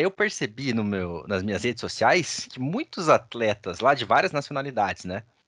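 A man at a moderate pace with very wide pitch swings and hardly any pauses, in a dry, close sound with no echo and a quiet background. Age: 20s. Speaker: podcast host. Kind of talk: casual chat.

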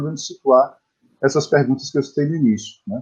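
Pitch moves in the usual way here. The speaker is a man. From Bahia, Brazil (Bom Jesus da Lapa, interior). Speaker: poet and translator. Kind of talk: interview. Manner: halting, many repetitions.

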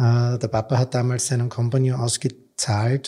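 A dark, mellow, somewhat breathy tone at a very slow pace. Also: man. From Austria. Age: 50s. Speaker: textile entrepreneur. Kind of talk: interview.

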